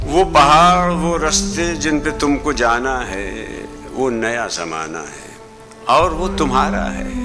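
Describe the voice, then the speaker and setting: Music sounds behind the man's voice. His intonation is lively. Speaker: poetry reciter. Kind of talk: poetry reading. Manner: expressive, emotional.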